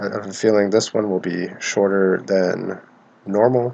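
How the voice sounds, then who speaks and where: Over noticeable background noise, a soft-spoken man talks at a fairly slow pace. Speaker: podcast host. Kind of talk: casual podcast monologue. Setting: shared living space. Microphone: close to cheap mic.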